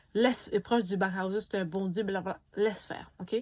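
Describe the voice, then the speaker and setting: On a very clean recording with a silent background, a woman speaks in an animated tone at a moderate pace, her medium-pitched voice somewhat breathy and showing ordinary pitch variation. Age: young. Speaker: beauty YouTuber. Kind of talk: casual vlog review.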